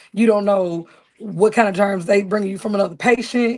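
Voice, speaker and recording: With an Arkansas accent, a woman talks at a moderate pace and medium pitch, her pitch varying in an ordinary way. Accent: Southern US (Arkansas). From US South, rural Arkansas (Marianna). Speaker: Southern soul singer and songwriter. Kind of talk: interview. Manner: animated.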